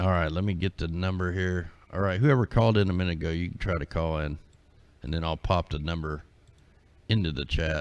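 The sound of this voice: Speaking low-pitched at a fairly quick pace, a man keeps his intonation fairly even.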